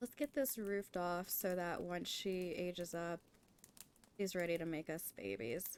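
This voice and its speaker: An unremarkable speaking voice from a woman with an American accent, fairly low in pitch, fairly slow, with ordinary pitch variation. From US, Nevada. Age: 30s. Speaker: video game streamer. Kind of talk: casual live-stream chat. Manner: soft-spoken.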